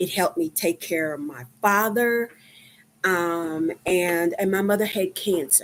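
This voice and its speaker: Ordinary pitch variation in a woman's voice pitched at a medium level. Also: fairly slow pace. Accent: Texan. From Texas, Dallas. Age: 50s. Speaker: livestreamer, medical worker. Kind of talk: casual livestream chat. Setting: live stream. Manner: halting, many fillers.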